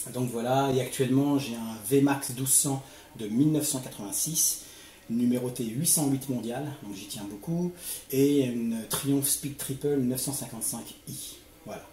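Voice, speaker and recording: The speech moves at a fairly slow pace with fairly even intonation and big swings in loudness. Noticeable background noise and audible room echo are present. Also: man, medium pitch for a man. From Paris suburbs (Seine-Saint-Denis). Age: 40s. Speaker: motovlogger, youth worker. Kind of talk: interview. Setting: at home.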